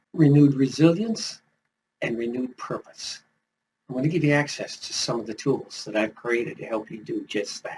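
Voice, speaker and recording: His pitch swings very widely. The man's voice is somewhat breathy. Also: big swings in loudness. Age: 70s. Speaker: retired pastor and life coach YouTuber. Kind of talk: motivational talk to camera.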